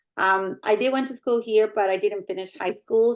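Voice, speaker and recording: A woman of medium pitch talks with a Spanish accent. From Mexico. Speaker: medical coding supervisor. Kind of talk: interview.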